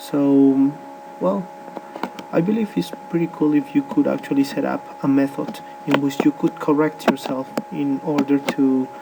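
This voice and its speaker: A man with a Spanish accent speaks over noticeable background noise. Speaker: English teacher. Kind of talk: presentation. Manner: halting, many fillers.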